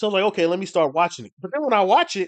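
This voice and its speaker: A man is speaking over a quiet background. The sound is dry and close, with no echo. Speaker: streamer and comics creator. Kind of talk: casual livestream chat. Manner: fast; halting, many restarts.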